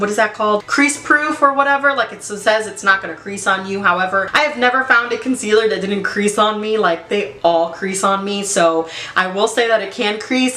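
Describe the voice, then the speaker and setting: Over noticeable background noise, a woman with a medium pitch talks at a fairly quick pace with ordinary pitch variation. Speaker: beauty vlogger. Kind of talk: product review tutorial. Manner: halting, stumbles on words; casual, conversational.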